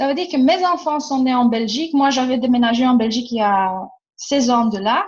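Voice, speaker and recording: Lively intonation and a fairly quick pace mark this voice in a Romanian accent. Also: woman, high pitch for a woman. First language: Romanian (speaking French). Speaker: workshop facilitator. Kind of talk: casual chat. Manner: animated.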